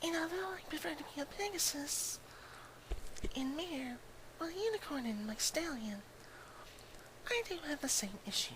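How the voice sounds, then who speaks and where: A man's put-on character voice at an extremely high pitch, moderate pace, long and frequent pauses, noticeable background noise. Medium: virtual streamer. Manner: pleased with her looks, presenting herself.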